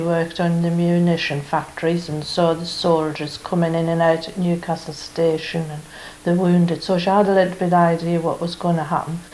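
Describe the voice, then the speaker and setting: There's audible room echo and noticeable background noise as a woman talks at a moderate pace with a fairly low pitch. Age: 80s+. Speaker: oral history interviewee. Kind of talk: oral history interview.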